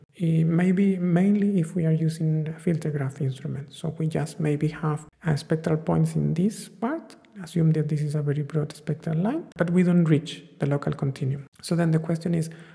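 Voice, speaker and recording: Fairly high-pitched male speech at a moderate pace, fairly even in intonation with hardly any pauses, over noticeable background noise. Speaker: solar physics tutorial instructor. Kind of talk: tutorial. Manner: hesitant, repeats words.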